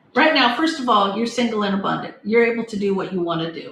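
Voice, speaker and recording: With ordinary rises and falls in pitch, a woman's rather high voice comes through noticeable background noise. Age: 60s. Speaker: tarot reader. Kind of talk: live-stream tarot reading. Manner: casual, chatty.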